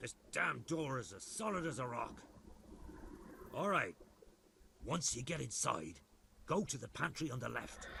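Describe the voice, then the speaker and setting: Putting on a gruff character voice, a man at medium pitch swings very widely in pitch while keeping a moderate pace. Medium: video game. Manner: gruff, cursing.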